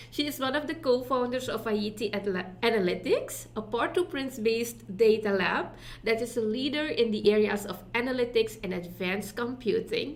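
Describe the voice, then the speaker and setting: With hardly any pauses, a woman at a fairly high pitch speaks at a moderate pace with ordinary pitch variation over noticeable background noise. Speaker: summit co-host. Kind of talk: speaker introduction.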